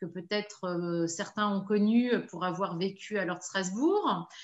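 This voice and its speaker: A woman talks at a fairly slow pace. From Paris region, France. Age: 50s. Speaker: business owner. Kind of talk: interview testimony. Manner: hesitant, many fillers.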